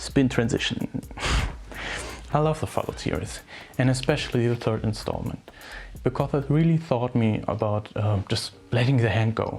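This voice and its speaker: Long, frequent pauses mark this speech, which carries a strong non-native accent. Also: moderate pace. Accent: strong, harsh non-native English. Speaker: gaming video essayist. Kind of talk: scripted video essay narration.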